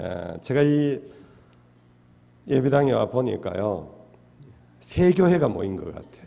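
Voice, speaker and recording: This man talks at a very slow pace in a Daegu accent, with long, frequent pauses and a medium pitch. His dark, mellow tone carries very wide pitch swings and big swings in loudness, with audible room echo around it. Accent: Daegu Gyeongsang dialect. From Daegu, South Korea (Gyeongsang). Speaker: pastor. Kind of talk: sermon. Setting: church. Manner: frequent filler hesitations.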